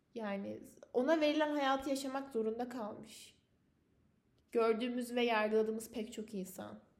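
A woman with a fairly high pitch talks at a moderate pace, and audible room echo surrounds her voice. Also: ordinary pitch variation. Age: 20s. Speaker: university student podcaster. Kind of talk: solo personal podcast monologue.

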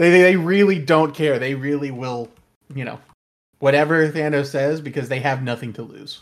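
This is a plain, everyday voice at a moderate pace, with ordinary pitch variation and big swings in loudness. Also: man, fairly high pitch for a man. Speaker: podcast host. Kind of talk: casual chat.

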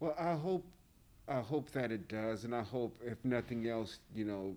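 A man with an American accent speaks at a fairly slow pace. He has an ordinary speaking voice and ordinary pitch variation. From US South. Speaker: print shop worker. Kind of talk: casual chat.

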